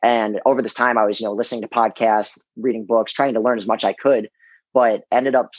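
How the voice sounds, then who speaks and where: A plain, everyday voice moves at a fairly quick pace with fairly even intonation, recorded with a dry, close sound and no echo. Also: man. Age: 20s. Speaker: Marine Corps drill instructor, real estate investor. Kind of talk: interview.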